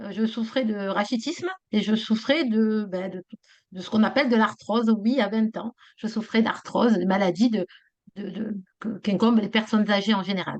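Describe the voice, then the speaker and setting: A woman with fairly high pitch, ordinary pitch variation, an unremarkable speaking voice and a moderate pace. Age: 60s. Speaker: business owner. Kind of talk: testimony. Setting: video call.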